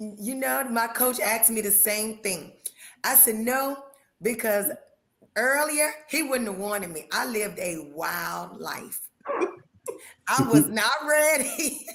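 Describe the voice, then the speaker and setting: With audible room echo, a woman of fairly high pitch speaks at a very slow pace, her pitch swinging very widely between long, frequent pauses. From North Carolina, near the Virginia line. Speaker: professional boxer. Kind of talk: interview.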